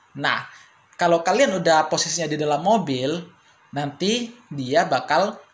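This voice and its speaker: Delivered fairly slowly, the speech shows ordinary variation in pitch. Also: man. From Indonesia. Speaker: language teacher YouTuber; language teacher vlogger. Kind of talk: tutorial. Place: home room.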